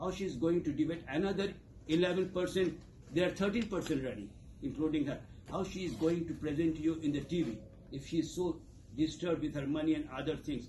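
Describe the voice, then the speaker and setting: A man speaks at a very fast pace with a fairly high pitch and a dark, mellow tone. His pitch varies in an ordinary way, and audible room echo surrounds him. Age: 60s. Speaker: community leader. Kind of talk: campaign speech. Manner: animated.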